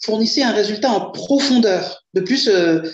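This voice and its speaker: A woman's fairly high voice with lively intonation, at a moderate pace. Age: 50s. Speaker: client giving a testimonial. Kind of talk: testimony. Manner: hesitant, many fillers.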